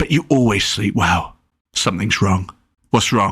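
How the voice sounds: A natural reading voice with ordinary pitch variation sits over a quiet background.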